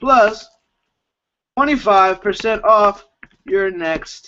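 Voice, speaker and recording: A man speaks at a high pitch. His tone is energetic. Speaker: network marketing team leader. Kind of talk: webinar training. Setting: live video webinar. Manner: fast; hyped, energetic.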